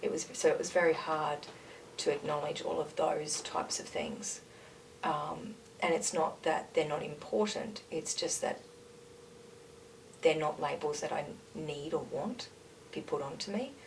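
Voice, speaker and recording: A woman in an Australian accent speaks at a fairly slow pace with long, frequent pauses over noticeable background noise. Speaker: interview guest, mother working in a nursery. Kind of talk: casual conversation. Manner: loud, outspoken.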